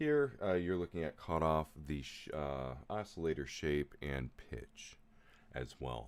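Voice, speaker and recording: A man speaks very slowly in a very deep, low, booming voice. His pitch varies in an ordinary way. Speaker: music producer livestreamer. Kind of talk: live stream tutorial. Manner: casual, hesitant with fillers.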